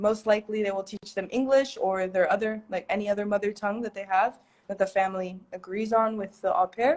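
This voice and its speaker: A woman in a normal speaking voice with an American accent, medium pitch, fairly quick pace, fairly even intonation and hardly any pauses. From United States. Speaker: content creator and teacher. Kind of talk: livestream interview. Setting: livestream. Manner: casual, filler-heavy.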